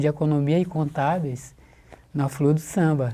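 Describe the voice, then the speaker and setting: A man's dark, mellow tone at a moderate pace. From Brazil, São Luís do Maranhão. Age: 60s. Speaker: carnival designer. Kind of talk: oral history interview.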